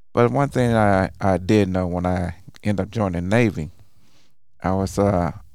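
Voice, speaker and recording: In an American accent with ordinary pitch variation, the speech comes through in a very clean recording with a silent background. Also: man. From Oklahoma, Tulsa. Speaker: hospital chaplain. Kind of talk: casual interview.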